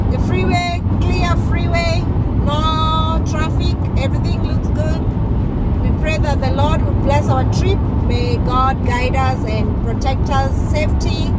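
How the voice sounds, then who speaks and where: Words come at a very slow pace beneath loud background noise. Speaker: road trip vlogger. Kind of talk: casual vlog chat. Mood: cheerful, excited. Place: car. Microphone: phone near.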